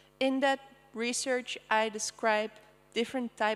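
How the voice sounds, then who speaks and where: This woman has a fairly high pitch and speaks with a Dutch accent. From Netherlands. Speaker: artist. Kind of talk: presentation. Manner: casual with many fillers.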